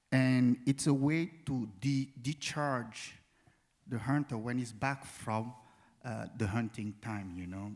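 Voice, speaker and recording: This man talks with a non-native accent. Behind him, the recording is very clean and the background silent. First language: not English. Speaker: performance artist. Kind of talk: panel discussion. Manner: halting.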